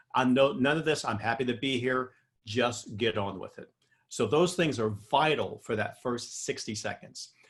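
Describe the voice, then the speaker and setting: A man's medium-pitched, somewhat breathy voice with an American accent, at a moderate pace with ordinary pitch variation. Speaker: professional speaker. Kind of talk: interview.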